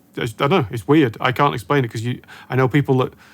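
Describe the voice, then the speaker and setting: This is a plain, everyday voice from a man at a medium pitch. His pitch varies in an ordinary way. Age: younger than guest. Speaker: guitar show host. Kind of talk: interview.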